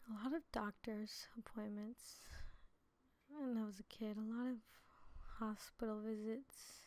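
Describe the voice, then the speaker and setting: A woman with an American accent speaks fairly slowly at a fairly high pitch, leaving long, frequent pauses. Her intonation stays fairly even. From New Jersey. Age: 20s. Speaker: preacher. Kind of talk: testimony. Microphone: too quiet in original upload.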